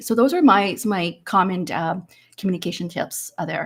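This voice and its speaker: A somewhat breathy woman with a medium pitch, ordinary pitch variation and a fairly quick pace, on a very clean recording with a silent background. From Hong Kong and Canada. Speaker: interview coach. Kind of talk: panel discussion. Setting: virtual live event.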